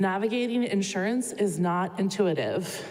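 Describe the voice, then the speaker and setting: Speaking at a moderate pace, a woman with a medium-pitched voice keeps her intonation fairly even amid audible room echo. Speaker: clinical social worker. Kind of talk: conference presentation. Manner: many filler words.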